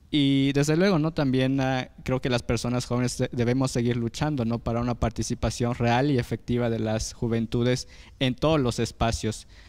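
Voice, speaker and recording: At a moderate pace and with hardly any pauses, a man talks with very even loudness and fairly even intonation. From Mexico, Oaxaca. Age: young. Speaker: youth activist and former electoral councillor; former electoral councillor. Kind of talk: panel discussion. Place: studio. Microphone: handheld.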